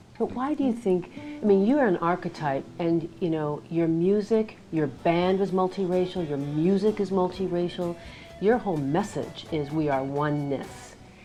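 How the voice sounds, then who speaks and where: Music plays in the background while a woman talks at a moderate pace. Her voice is fairly low in pitch, with lively intonation. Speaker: interviewer. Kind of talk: interview questions.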